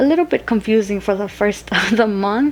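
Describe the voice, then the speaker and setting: Fairly high female voice at a moderate pace with ordinary pitch variation and noticeable background noise. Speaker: budgeting vlogger. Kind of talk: casual budgeting tutorial. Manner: stuttering, voice cracks.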